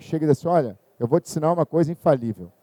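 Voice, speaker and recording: A man talks at a fairly high pitch with ordinary pitch variation and a dark, mellow tone. The sound is dry and close, with no echo. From northern Brazil, Belém do Pará. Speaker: dentist and university professor. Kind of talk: lecture.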